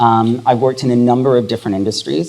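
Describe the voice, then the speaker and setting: Racing at a very fast pace, a man speaks with ordinary pitch variation as noticeable background noise continues. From Hong Kong, British and Swiss parents. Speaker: HR executive. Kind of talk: panel discussion.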